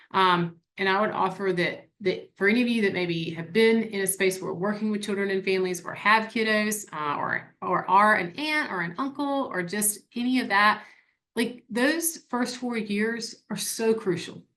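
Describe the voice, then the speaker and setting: Speaking in a South Carolina accent, a woman uses a bright, sharp tone with ordinary pitch variation. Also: medium pitch for a woman, moderate pace. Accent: upstate South Carolina. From upstate South Carolina. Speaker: nonprofit staff presenter. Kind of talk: webinar presentation. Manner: conversational, uses fillers.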